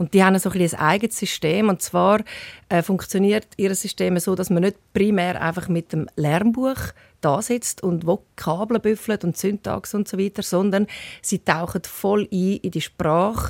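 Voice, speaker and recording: Speaking slowly with fairly even intonation, a woman uses a plain, everyday voice at medium pitch. The sound is dry and close with no echo, in a very clean recording with a silent background. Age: 50s. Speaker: TV presenter. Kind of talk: interview.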